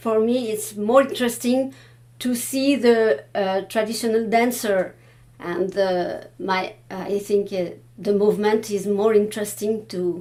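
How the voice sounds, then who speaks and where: A fairly high-pitched woman's voice in a French accent, with ordinary pitch variation. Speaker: Baroque dance researcher. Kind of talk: panel discussion. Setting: room with live audience. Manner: halting, many hesitations.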